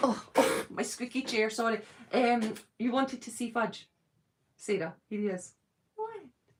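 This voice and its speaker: A woman with a Scottish accent speaks at a fairly slow pace in a fairly high voice, with ordinary pitch variation and long, frequent pauses. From Scotland, Edinburgh. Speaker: YouTuber, fan channel host. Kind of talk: casual chat.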